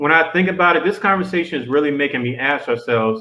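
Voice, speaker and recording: A man talks in an animated tone. His pitch varies in an ordinary way. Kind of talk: casual chat.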